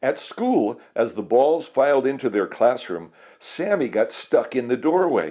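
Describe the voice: What you hear is plain reading aloud.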